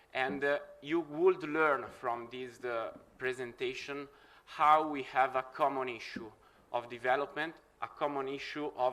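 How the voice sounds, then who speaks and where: Fairly even in intonation, a man with an Italian accent speaks at medium pitch and a moderate pace. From Italy. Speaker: researcher and session moderator. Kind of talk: conference speech. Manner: halting, many fillers.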